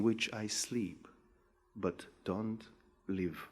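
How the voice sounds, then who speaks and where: A man speaks with a Macedonian accent at a fairly low pitch and a very slow pace. The recording is very clean, with a silent background. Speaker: poet. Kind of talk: poetry reading.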